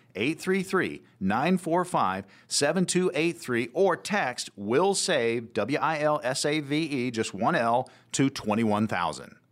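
In a very clean recording with a silent background, a man with a fairly high pitch and vocal fry speaks at a fairly slow pace, his pitch swinging very widely while his loudness stays very even. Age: 50s. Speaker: radio co-host, consumer advocate. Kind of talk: radio talk show; sponsored pitch. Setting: radio studio. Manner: animated.

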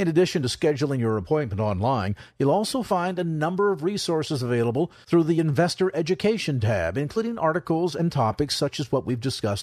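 Talking very fast, a man swings his fairly high pitch very widely. The background is quiet. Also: hardly any pauses. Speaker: radio co-host. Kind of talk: radio talk show. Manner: formal.

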